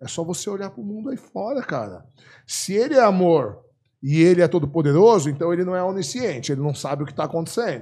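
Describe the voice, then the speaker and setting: A man speaks at a very fast pace in a high pitch with a dark, mellow tone. His pitch swings very widely. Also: very clean recording, silent background. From Brazil. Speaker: philosophy professor and author. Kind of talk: podcast interview.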